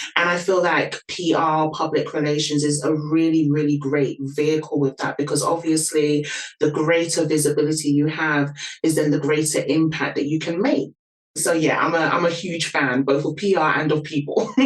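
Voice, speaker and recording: A woman with a London accent speaks at a very deep, low pitch and a moderate pace. Her intonation is monotone and flat, her loudness very even. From London, England (Nigerian parents). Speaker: PR copywriter and content marketer. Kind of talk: interview.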